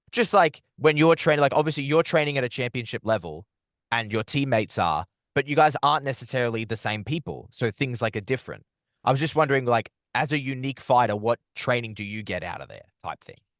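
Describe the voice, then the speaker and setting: Very fast speech from a man with an Australian accent, medium pitch and ordinary pitch variation, dry and close with no echo over a quiet background. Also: big swings in loudness. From Australia, Melbourne. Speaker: combat sports interviewer. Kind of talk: interview.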